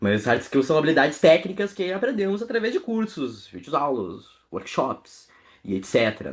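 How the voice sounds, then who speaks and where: With a Porto Alegre accent, a man speaks at a moderate pace, his vocal fry paired with very wide pitch swings. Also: fairly high pitch for a man. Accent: Porto Alegre gaúcho. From southern Brazil, Porto Alegre. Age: 20s. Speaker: workshop speaker, community manager. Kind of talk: online workshop talk. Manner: casual, chatty.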